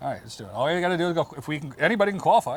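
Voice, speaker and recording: Here a man speaks with a high pitch. His pace is very fast. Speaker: former pro beach volleyball player. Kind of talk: podcast interview. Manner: animated, halting repetitions.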